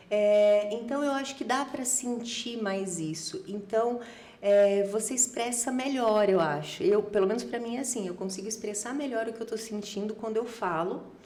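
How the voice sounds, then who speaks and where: Noticeable background noise and audible room echo surround a woman's voice. She speaks with hardly any pauses, at a fairly high pitch with ordinary variation. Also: moderate pace. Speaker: podcast guest. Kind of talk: casual chat.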